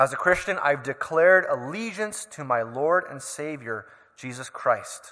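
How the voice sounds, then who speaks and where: A man with a Canadian accent speaks fairly slowly in a fairly high, bright, sharp voice, with lively intonation and big swings in loudness. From Canada. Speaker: preacher. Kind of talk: sermon.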